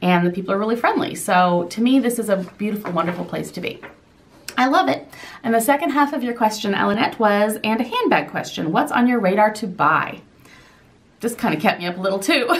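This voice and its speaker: Lively intonation and a very fast pace mark this speech, heard over noticeable background noise. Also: woman, fairly high pitch for a woman. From southern Indiana. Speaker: lifestyle vlogger. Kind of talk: Q&A vlog.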